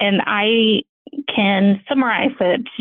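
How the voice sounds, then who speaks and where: Using lively intonation, a woman with a Mexican accent talks at a medium pitch. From Mexico, Ciudad Juarez. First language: Spanish. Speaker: engineering manager. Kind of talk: interview.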